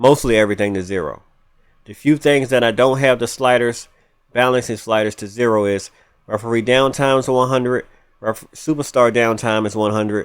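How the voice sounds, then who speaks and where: Speaking fairly quickly, a man with a plain, everyday voice keeps his medium pitch fairly even. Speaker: gaming YouTuber. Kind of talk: gameplay tutorial. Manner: casual, with false starts.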